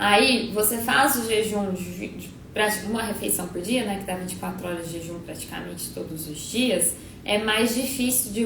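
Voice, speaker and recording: A woman at medium pitch is heard with noticeable background noise and audible room echo. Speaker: nutritionist. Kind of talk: live stream Q&A. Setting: live stream. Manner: fast.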